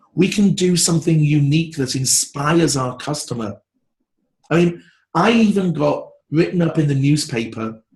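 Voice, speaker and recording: At a moderate pace, a man with a British accent and a fairly high pitch shows ordinary pitch variation. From England. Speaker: branding expert. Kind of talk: interview. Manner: animated.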